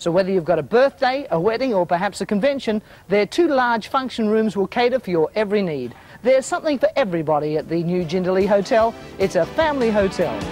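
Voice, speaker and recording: Over faint background music, a man with a high pitch speaks at a very fast pace with lively intonation and an upbeat tone, the sound dry with no echo. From Australia. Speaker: TV host. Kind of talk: TV infomercial presenting. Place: garden. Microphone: lapel.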